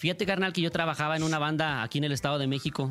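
A man at a fairly high pitch and a very fast pace, over music in the background. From Michoacán, Mexico. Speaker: singer. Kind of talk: interview. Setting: radio studio.

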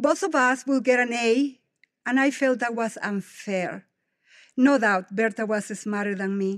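This woman has a Spanish accent and a fairly high pitch. She goes at a fairly slow pace with ordinary pitch variation. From Guatemala. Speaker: devotional speaker. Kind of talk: devotional speech. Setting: stage with audience.

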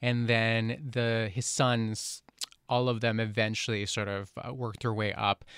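A man's unremarkable speaking voice, medium in pitch, at a moderate pace. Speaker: film critic. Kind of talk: film review discussion.

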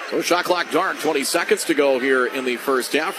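A man speaks with lively intonation. Noticeable background noise is present. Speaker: radio play-by-play announcer. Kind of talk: live sports commentary. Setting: radio broadcast from the arena. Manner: fast, rapid-fire play-by-play.

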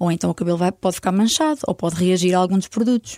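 At a very fast pace, a woman with a dark, mellow tone speaks at medium pitch with ordinary pitch variation, in a dry, close sound with no echo on a very clean recording with a silent background. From northern Portugal, Vila Real. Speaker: hair colourist. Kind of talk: casual interview.

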